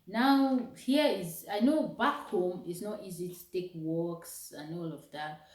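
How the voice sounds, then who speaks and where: With audible room echo, a woman of medium pitch speaks at a very slow pace with hardly any pauses and very wide pitch swings. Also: big swings in loudness. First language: not English. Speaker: vlogger. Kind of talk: motivational vlog talk. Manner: casual, conversational.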